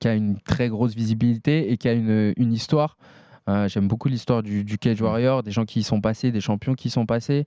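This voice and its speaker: A man's dark, mellow voice at medium pitch, moderate in pace, with a dry, close sound and no echo. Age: 20s. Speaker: MMA fighter. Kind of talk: casual interview.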